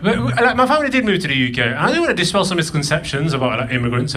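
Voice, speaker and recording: A man talks at a very fast pace with ordinary pitch variation. Noticeable background noise and audible room echo fill the recording. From northern England, Burnley (Lancashire), moved from Pakistan at eight. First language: Punjabi. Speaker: comedian. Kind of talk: stand-up. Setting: stage with audience.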